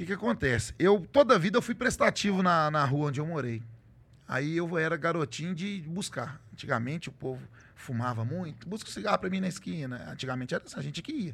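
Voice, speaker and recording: Lively intonation marks an ordinary speaking voice delivered at a fairly quick pace. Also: man, fairly high pitch for a man. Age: middle-aged. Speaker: truck driver and social media content creator. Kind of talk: casual interview chat.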